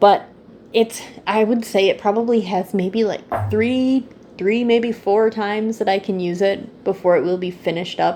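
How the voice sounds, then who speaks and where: The woman speaks in a normal speaking voice at medium pitch. Her intonation is fairly even, and her pace is moderate. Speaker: candle YouTuber. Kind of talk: casual product review vlog.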